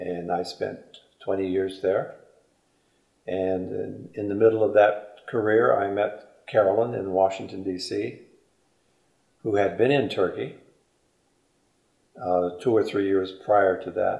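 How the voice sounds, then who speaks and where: A man with an American accent talks at a fairly low pitch with fairly even intonation. Long, frequent pauses break up his speech, and audible room echo surrounds it. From US Midwest, Indiana. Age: 70s. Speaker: military retiree. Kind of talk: interview.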